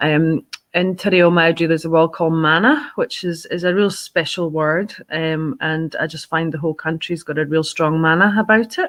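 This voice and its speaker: A woman with a Scottish accent talks at a fairly low pitch with fairly even intonation and hardly any pauses. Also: moderate pace. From Scotland. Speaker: fundraising organisation director. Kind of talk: podcast interview. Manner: hesitant, many fillers.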